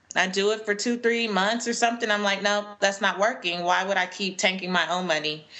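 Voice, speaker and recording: This woman talks fairly quickly with ordinary pitch variation, noticeable noise behind her. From US West Coast, Los Angeles. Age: 30s. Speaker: personal finance educator and speaker. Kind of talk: interview. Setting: video call.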